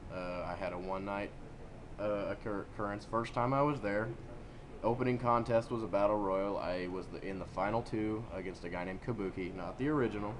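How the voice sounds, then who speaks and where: Audible room echo fills the space as a man talks at a fairly quick pace. His pitch is fairly low and his intonation fairly even. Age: 20s. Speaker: amateur wrestler. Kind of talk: casual chat.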